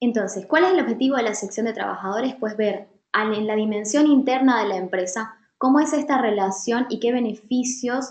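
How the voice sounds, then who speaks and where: A woman speaks at a moderate pace with a high pitch. Her intonation is lively. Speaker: workshop facilitator. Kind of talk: online training session.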